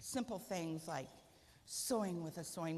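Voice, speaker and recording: Light background noise sits behind a woman's speech. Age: 60s. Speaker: guide dog user; guest, guide dog user. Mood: warm, humorous storytelling. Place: hall.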